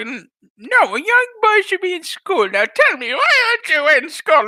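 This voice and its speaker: In a put-on character voice, a man speaks at a moderate pace with an extremely high pitch and very wide pitch swings. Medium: solo performance. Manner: scolding, old-fashioned.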